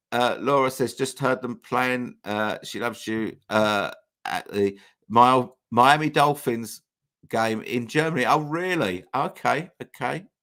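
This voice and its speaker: On a very clean recording with a silent background, a man talks at a fairly slow pace and medium pitch, his tone bright and sharp, with ordinary pitch variation. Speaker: YouTube channel host. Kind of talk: livestream chat reading comments. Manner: hesitant, many false starts.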